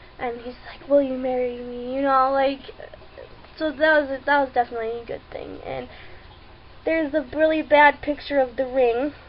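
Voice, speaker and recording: A high-pitched woman with fairly even intonation, big swings in loudness and long, frequent pauses, over noticeable background noise. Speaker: vlogger. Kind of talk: personal video update. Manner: slow. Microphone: webcam, poor video quality.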